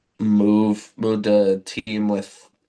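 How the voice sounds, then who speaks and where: A man's voice, fairly low in pitch. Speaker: sports podcast co-host. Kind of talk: casual chat.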